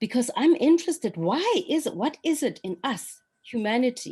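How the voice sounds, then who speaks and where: A woman's somewhat breathy voice with very wide pitch swings at a moderate pace. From South Africa. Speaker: psychologist and healer. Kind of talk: reflective conversation. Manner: hesitant, searching.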